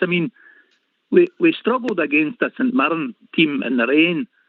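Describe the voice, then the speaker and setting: A man with a Lanarkshire accent and very wide pitch swings. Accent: Scottish (Lanarkshire). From Scotland, Motherwell. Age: 60s. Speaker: caller, football fan. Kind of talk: call-in chat.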